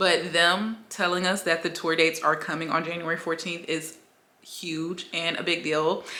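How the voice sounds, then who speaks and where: A woman with an American accent speaks in an animated tone. Audible room echo surrounds her voice. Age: 20s. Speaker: YouTuber, K-pop fan. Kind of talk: casual vlog. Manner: fast.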